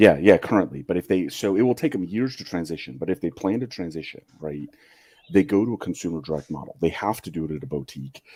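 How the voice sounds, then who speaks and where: A man talks at a very fast pace with a very deep, low pitch and vocal fry. His tone is dark and mellow, and his loudness swings widely. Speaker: watch collector. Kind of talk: casual chat.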